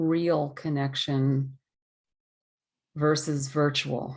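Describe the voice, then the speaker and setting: The background is quiet. A woman speaks very slowly in a monotone with flat intonation. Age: 60s. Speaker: ceremony participant. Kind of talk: testimony.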